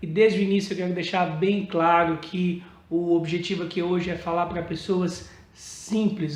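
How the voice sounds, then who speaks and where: A man speaks in a high voice at a fairly slow pace. Room echo is audible. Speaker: evangelical preacher. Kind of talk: casual sermon to camera. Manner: informal, conversational.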